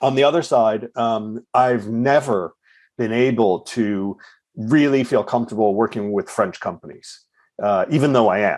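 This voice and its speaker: This is a normal speaking voice in an American accent, moving at a fairly slow pace with ordinary pitch variation. The recording is very clean, with a silent background. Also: man. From United States. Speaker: recruitment firm founder. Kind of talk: interview conversation. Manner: repeats words, fillers.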